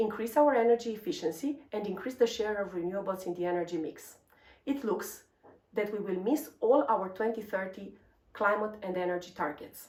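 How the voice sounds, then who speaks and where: In a Romanian accent, a woman talks fairly quickly at medium pitch with lively intonation. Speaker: energy researcher. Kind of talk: scripted presentation.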